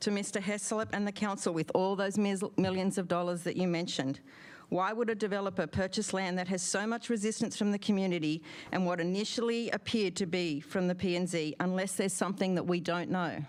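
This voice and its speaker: A woman with an American accent, medium pitch, fairly even intonation, very even loudness and a fairly quick pace. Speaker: resident speaking at public comment. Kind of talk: public comment at council meeting. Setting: city council meeting.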